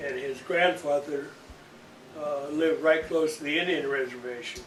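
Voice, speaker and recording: In an American accent, a man speaks at a fairly high pitch and a moderate pace with fairly even intonation. Audible room echo and noticeable background noise come through. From Iowa. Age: old. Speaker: storyteller. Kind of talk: casual chat.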